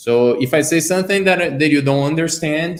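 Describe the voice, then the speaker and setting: A man's voice in a Brazilian accent, with ordinary pitch variation. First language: Portuguese. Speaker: car design sketching teacher. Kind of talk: live stream tutorial chat.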